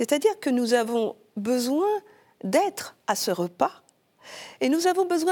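Her pitch rises and falls very widely. The woman talks at a very slow pace. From Martinique. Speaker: consecrated virgin, church liturgy director. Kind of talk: interview.

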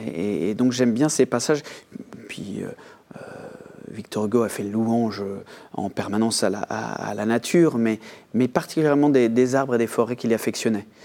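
A man talks at a moderate pace with a medium pitch and ordinary pitch variation. Long, frequent pauses and noticeable background noise are present. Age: 40s. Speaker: author. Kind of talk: interview. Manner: halting, many repetitions.

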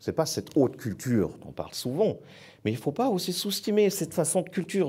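Recorded very cleanly against a silent background, a man speaks with very wide pitch swings and vocal fry. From southern Germany. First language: German (speaking French). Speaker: foundation director. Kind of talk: panel talk.

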